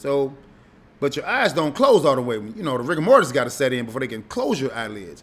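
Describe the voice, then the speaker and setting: Speaking very fast, a man with an American accent uses a fairly high pitch, lively intonation and an animated tone, on a very clean recording with a silent background. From Chicago. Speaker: radio host. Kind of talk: casual monologue.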